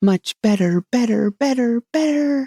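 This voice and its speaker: A female-sounding speaker puts on a squeaky character voice at a fairly high pitch and talks at a fairly slow pace. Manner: rising to a sheep-like bleat.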